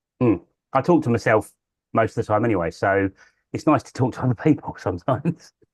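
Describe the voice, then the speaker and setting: Against a quiet background, a man of medium pitch speaks very fast in a dry, close recording with no echo, somewhat breathy, with big swings in loudness and long, frequent pauses. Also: lively intonation. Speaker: birdwatching show co-host. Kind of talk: casual chat.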